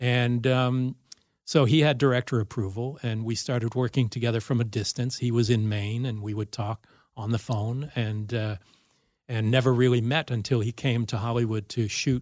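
A man with an American accent and an unremarkable speaking voice speaks at medium pitch and a moderate pace, with fairly even intonation, on a very clean recording with a silent background. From US West Coast, Los Angeles. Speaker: film director and writer. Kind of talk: casual chat. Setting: studio.

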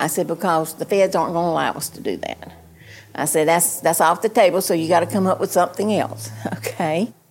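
A woman talks in a fairly low voice. Her intonation stays fairly even. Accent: eastern North Carolina. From Eastern North Carolina. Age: 70s. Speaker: small-town mayor. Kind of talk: interview. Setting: outdoors. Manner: firm.

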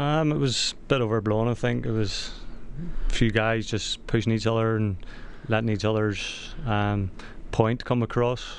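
A man talks at a moderate pace. His voice sits at medium pitch. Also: fairly even intonation. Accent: Northern Irish. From Northern Ireland. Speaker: soccer player. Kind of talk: radio interview. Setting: studio.

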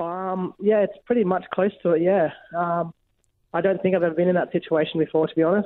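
A man with an Australian accent speaks fairly quickly in a high voice, his intonation fairly even. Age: 20s. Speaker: firefighter. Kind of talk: interview. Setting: phone call. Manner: halting, many fillers.

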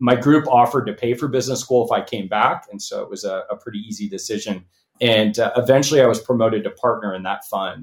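A man with a Californian accent talks fairly quickly at a medium pitch, keeping his intonation fairly even. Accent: General American, Californian. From Los Angeles. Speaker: venture capitalist and company founder. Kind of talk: interview. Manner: halting, many fillers and repeats.

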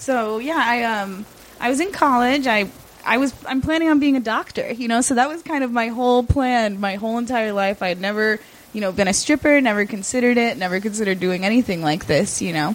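A woman talks at a fairly quick pace with lively intonation. Hers is an unremarkable speaking voice. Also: fairly high pitch for a woman. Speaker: sex worker. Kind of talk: casual interview.

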